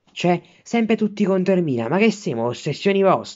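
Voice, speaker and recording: Against a quiet background, a man speaks in a furious tone. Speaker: Milan fan vlogger. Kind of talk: angry rant, foul-mouthed sports fan tirade. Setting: self-filmed video at home while studying. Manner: furious, sputtering, swearing in almost every sentence; indignant, repetitive, outraged, shouting at rivals. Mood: angry, indignant. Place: home room. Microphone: phone near.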